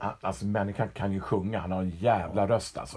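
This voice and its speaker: Ordinary pitch variation shapes a voice that has a dark, mellow tone. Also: man. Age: old. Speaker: podcast co-host. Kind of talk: casual chat.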